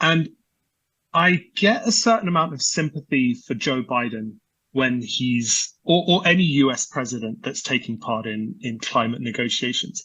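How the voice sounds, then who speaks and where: Speaking with a British accent, a man with a fairly high voice talks at a moderate pace with lively intonation. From UK. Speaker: energy research analyst. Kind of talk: podcast interview. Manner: halting with many repetitions and fillers.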